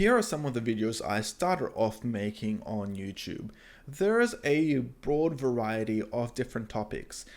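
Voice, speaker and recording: A man with a normal speaking voice, medium pitch and lively intonation talks at a moderate pace. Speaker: YouTuber, web and app developer. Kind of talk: vlog-style talk to camera.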